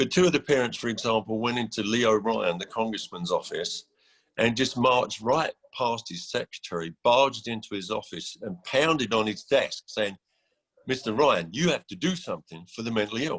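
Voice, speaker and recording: A man with an English accent at a medium pitch, lively intonation and a moderate pace, in a dry, close sound with no echo. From England. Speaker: executive director of a mental health housing nonprofit. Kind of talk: conference panel talk. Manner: hesitant, many fillers and repetitions.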